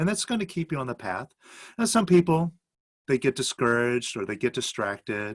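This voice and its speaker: With vocal fry and very wide pitch swings, a man speaks in a dry, close sound with no echo. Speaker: self-help teacher. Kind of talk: interview. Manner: calm.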